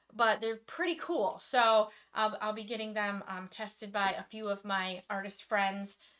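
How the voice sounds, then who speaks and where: Speaking loudly in an American accent, a woman with a fairly high pitch and a bright, sharp tone barely pauses at all. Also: ordinary pitch variation, fairly slow pace. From Michigan. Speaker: acrylic pouring artist. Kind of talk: live stream demonstration chat.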